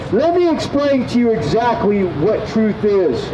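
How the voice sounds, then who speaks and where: A man's voice over noticeable background noise. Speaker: street preacher. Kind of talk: sermon. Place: street. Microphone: pa.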